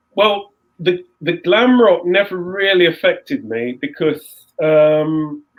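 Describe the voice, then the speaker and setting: A man speaks at a very slow pace. His pitch is high. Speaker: composer and saxophonist. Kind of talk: interview, casual storytelling. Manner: halting, repetitive restarts.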